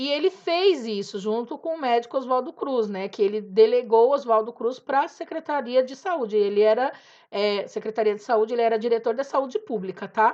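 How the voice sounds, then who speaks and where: A woman speaks at a moderate pace with a high pitch and lively intonation. The background is quiet. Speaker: teacher. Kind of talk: lecture. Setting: home recording.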